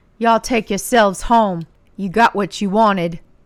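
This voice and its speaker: A woman's put-on character voice at medium pitch, with fairly even intonation. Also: moderate pace. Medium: read story.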